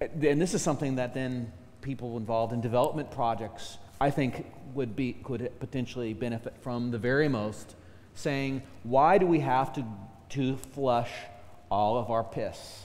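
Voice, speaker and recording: A man's medium-pitched voice moves at a moderate pace, showing ordinary pitch variation. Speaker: academic panelist. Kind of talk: panel discussion. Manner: loud.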